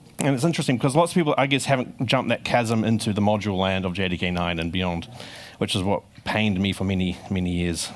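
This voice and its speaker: Intonation rises and falls in a lively way. The delivery is very fast. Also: man, fairly low pitch for a man. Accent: New Zealand. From New Zealand. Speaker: software engineer giving conference talk. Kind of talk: conference talk. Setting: stage with audience.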